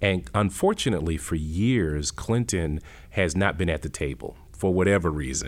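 With vocal fry, a man speaks in a very deep, low pitch. His pace is moderate and his intonation lively. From Worcester, Massachusetts. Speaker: college president. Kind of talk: interview.

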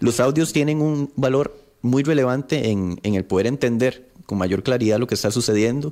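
The man's dark, mellow tone stays at very even loudness as he speaks at a moderate pace with ordinary pitch variation. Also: medium pitch for a man. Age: 30s. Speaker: politician. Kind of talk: radio interview.

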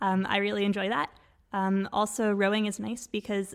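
Recorded very cleanly against a silent background, a woman with a Canadian accent talks at a fairly quick pace at medium pitch in a plain, everyday voice. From Quebec. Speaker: doctoral student. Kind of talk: casual chat.

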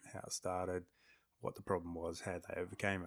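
At a moderate pace, a man with an Australian accent speaks in a very deep, low pitch with monotone, flat intonation. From Australia, Darwin. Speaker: podcaster and photographer. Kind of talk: casual interview. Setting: studio.

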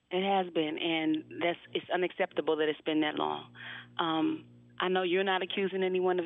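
A woman speaks at a moderate pace in a fairly low pitch. Her intonation is monotone and flat. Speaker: attorney. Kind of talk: radio interview. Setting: phone call.

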